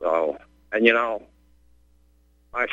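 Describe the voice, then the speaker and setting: Speaking with an American accent, a man talks at a fairly slow pace. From West Virginia. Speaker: caller, cancer survivor. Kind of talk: radio call-in.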